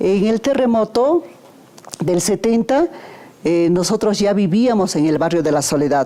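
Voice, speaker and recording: A woman is speaking. Her pace is very slow. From Peru, Huaraz (Andes). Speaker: son or daughter of a covid survivor. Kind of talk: documentary interview. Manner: halting, with fillers.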